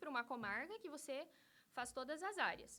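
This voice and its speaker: A woman speaks in a raised, projected voice with a bright, sharp tone and lively intonation at a moderate pace. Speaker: lawyer. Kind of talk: interview.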